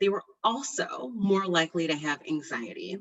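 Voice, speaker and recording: Using an unremarkable speaking voice at medium pitch, a woman talks at a moderate pace with lively intonation. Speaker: physician researcher. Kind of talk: webinar presentation.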